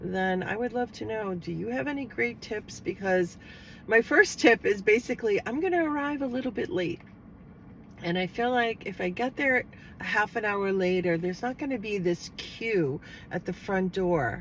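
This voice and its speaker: A woman with an American accent, medium pitch, lively intonation and a moderate pace. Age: 60s. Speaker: lifestyle vlogger. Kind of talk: casual vlog talk to camera. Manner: hesitant, with fillers.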